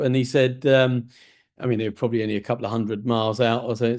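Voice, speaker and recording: The voice of a man comes over a quiet background. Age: 60s. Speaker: podcast host. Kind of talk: interview conversation.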